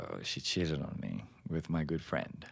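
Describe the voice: In a put-on character voice, a man speaks at an extremely low pitch with vocal fry and lively intonation, at a fairly slow pace.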